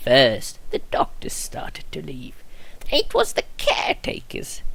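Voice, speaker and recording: A man whispering in a put-on character voice at a fairly slow pace. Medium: solo performance. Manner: polite, fussy.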